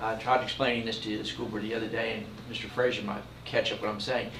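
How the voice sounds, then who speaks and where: A man with an American accent speaks at a very fast pace. Audible room echo and noticeable background noise surround him. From Philadelphia, US Northeast. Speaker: property tax collector reporting to school board. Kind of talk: report to school board meeting. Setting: school board meeting room. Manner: hesitant, many fillers.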